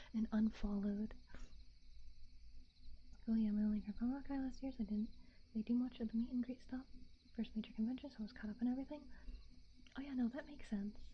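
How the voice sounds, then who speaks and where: A soft-spoken woman with a fairly high voice talks at a very fast pace, her intonation fairly even, broken by long, frequent pauses. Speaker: vtuber. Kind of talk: casual livestream chat. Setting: binaural microphone.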